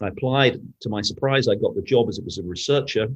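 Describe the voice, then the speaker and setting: Man with a British accent at a very fast pace, with ordinary pitch variation. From Britain. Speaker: newspaper editor and journalist. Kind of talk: interview conversation. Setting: podcast interview. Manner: halting, with many restarts.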